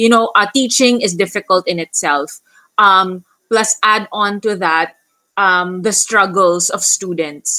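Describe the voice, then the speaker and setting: A woman with a bright, sharp tone speaks at medium pitch and a fairly slow pace, with ordinary pitch variation. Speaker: special education teacher. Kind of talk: panel discussion.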